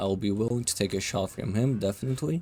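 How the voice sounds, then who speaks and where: A man at a fairly quick pace with fairly even intonation amid noticeable background noise. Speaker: gaming youtuber. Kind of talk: live gameplay commentary. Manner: casual, conversational.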